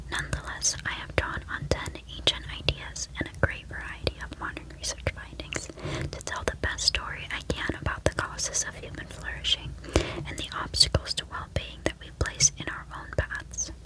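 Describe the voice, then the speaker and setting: Whispering at a moderate pace, with big swings in loudness and noticeable background noise. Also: woman. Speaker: ASMR content creator. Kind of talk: reading from a psychology book. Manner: whispered.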